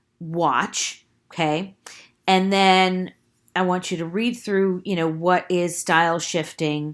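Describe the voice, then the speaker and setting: Speaking very slowly in an American accent, a woman uses a fairly low pitch with ordinary pitch variation, captured on a very clean recording with a silent background. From New York / New Jersey. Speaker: college English teacher. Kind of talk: recorded lecture. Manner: casual, filler-heavy with frequent 'right?'.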